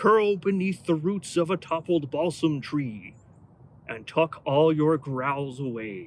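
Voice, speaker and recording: A man speaks in a put-on character voice, pitched fairly high. His pace is fairly slow. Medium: read story.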